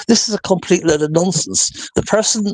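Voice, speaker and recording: The recording has a dry, close sound with no echo. A man talks with a Welsh accent. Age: 60s. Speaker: interviewee, property owner in disputed case. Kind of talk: interview, rebuttal of a video.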